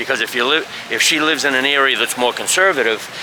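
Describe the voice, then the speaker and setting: A man speaks at a fairly quick pace in a fairly high voice with ordinary pitch variation. Noticeable background noise runs underneath. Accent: strong Boston. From US Northeast, Boston. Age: old. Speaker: expat vlogger. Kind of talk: casual vlog monologue. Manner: casual, halting with fillers.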